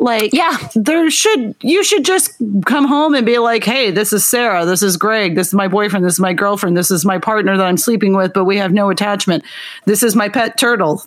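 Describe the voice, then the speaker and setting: Here is a woman with an unremarkable speaking voice, a medium pitch and lively intonation. She talks at a fairly quick pace with very even loudness. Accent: American. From Oklahoma. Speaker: podcast co-host. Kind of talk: casual chat.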